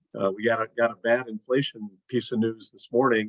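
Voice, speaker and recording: At a moderate pace, a man of medium pitch speaks with a dry, close sound and no echo. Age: 60s. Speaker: financial planner. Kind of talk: interview. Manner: halting.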